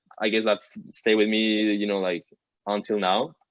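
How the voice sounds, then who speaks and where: A man talks with a Colombian accent at a moderate pace. His pitch sits fairly low. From Colombia, Bogota. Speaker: digital artist. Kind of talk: interview. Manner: casual, filler-heavy.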